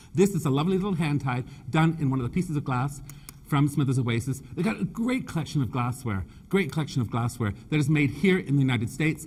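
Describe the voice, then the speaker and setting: Somewhat breathy, a man talks at a very fast pace. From Canada (Nova Scotia), British family. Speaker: floral designer and presenter. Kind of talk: live design demonstration with humor. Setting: stage with audience. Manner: animated, joking.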